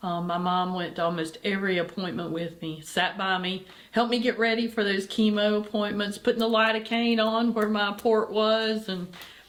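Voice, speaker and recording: A woman with a plain, everyday voice speaks at medium pitch and a moderate pace, with fairly even intonation and hardly any pauses. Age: 60s. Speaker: charity executive director and cancer survivor. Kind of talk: interview.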